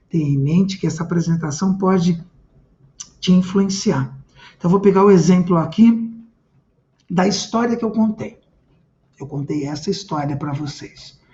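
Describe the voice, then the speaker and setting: A man with a high-pitched voice speaks at a moderate pace, with long, frequent pauses. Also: ordinary pitch variation. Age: 50s. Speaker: communication trainer. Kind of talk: live-streamed lecture. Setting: live stream. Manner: animated.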